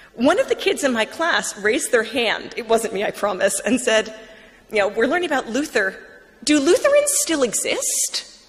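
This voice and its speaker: Over noticeable background noise, a woman with a high voice speaks at a moderate pace with very wide pitch swings. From US Northeast, Long Island, New York. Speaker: writer and former atheist blogger. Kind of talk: conversion talk to an audience. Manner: casual, with many fillers.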